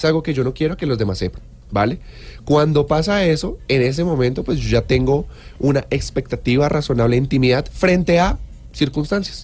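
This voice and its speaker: Somewhat breathy and fairly high in pitch, a man speaks at a fairly quick pace with ordinary pitch variation. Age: 30s. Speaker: lawyer, information security specialist. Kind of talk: expert interview. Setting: studio.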